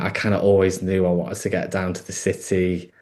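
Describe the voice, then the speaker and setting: A man speaks with a northern English accent. His pace is moderate. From northern England, Peak District. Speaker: actor and wardrobe worker. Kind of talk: interview. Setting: podcast. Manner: hesitant, many fillers.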